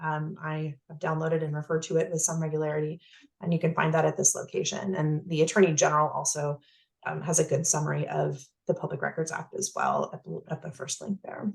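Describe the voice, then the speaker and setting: A woman talks at a very fast pace with a very deep, low pitch and vocal fry. Her intonation is fairly even, but her loudness swings a lot. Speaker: county counsel presenting to advisory council. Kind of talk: presentation on public records law.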